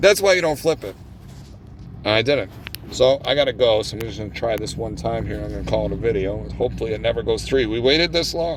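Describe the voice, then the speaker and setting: Amid noticeable background noise, a man talks very fast in an animated tone. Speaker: gambling video host. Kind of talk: live gameplay commentary.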